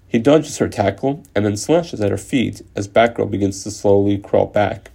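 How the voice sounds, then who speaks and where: A man's fairly low-pitched voice with a dark, mellow tone and vocal fry, ordinary pitch variation, and a moderate pace. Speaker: podcaster retelling a comic story. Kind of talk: story narration.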